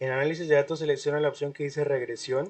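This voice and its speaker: The speaker is a man. His pitch sits fairly high. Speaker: university lecturer. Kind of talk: online class lecture. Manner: fast.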